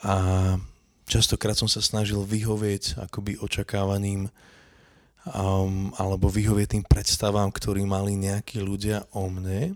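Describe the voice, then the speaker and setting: A man with a fairly low pitch speaks fairly slowly in a flat monotone, his sound dry and close with no echo in a very clean recording over a silent background. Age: 30s. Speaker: podcast host. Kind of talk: casual chat. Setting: home kitchen.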